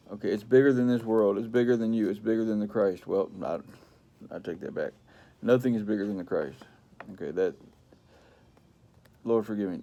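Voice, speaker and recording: Medium-pitched male voice with a dark, mellow tone and ordinary pitch variation. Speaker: preacher. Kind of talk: sermon. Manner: halting, repetitive.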